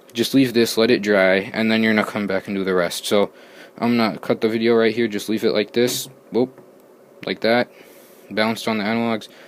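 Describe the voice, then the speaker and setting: Fairly quick and monotone, with flat intonation, a man talks at a medium pitch. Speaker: gaming YouTuber. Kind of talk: tutorial. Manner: halting, stuttering; casual.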